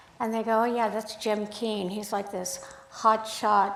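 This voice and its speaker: A woman's flat, monotone delivery at a fairly slow pace, with audible room echo and noticeable background noise. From Sacramento, California (born Hungary, lived in Belgium and Montreal as a child). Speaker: photographer. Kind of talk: talk to a club audience. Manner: halting.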